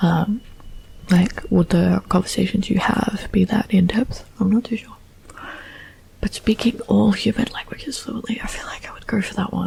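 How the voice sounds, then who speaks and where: The soft-spoken voice moves at a moderate pace, with noticeable background noise. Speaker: ASMR creator. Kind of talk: ASMR soft-spoken talk to camera.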